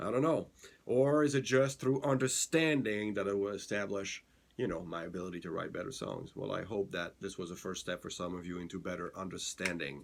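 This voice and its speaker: Speaking at a fairly quick pace, a man with a fairly low pitch uses lively intonation and has a non-native accent. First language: not English. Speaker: songwriting podcast host. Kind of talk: casual tutorial. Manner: halting, many fillers.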